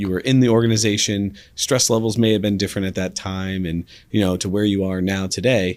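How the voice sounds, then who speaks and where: In a very clean recording with a silent background, a man speaks with a plain, everyday voice, fairly low in pitch, at a fairly quick pace and with fairly even intonation. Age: 30s. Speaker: podcast host. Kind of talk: interview conversation.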